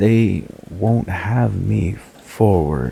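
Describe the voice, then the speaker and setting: Putting on a character voice, a man growls in a hoarse, very deep, low pitch with very wide pitch swings. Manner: slow.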